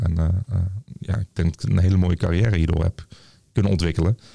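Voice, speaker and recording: The sound is dry and close, with no echo, and noticeable background noise. Delivery is very fast, with fairly even intonation. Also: man. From Tilburg, North Brabant. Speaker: nurse, lecturer and researcher. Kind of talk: casual interview. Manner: hesitant, many fillers.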